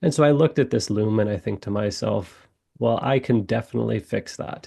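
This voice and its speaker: Vocal fry runs through a man's fairly low, dark, mellow voice as he speaks at a fairly quick pace with lively intonation. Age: 40s. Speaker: watch brand founder and architect. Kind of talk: podcast interview. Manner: halting, frequent fillers and repeats.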